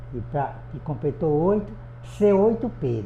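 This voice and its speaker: A man speaks at a fairly slow pace in a fairly high voice. There is noticeable background noise and audible room echo. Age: 80s+. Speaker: adult education student. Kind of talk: interview testimony.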